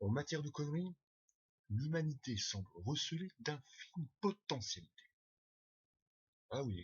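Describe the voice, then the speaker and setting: A somewhat breathy man with a fairly high pitch talks fairly slowly with long, frequent pauses, very wide pitch swings and big swings in loudness. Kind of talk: first read-through of a text, rehearsal.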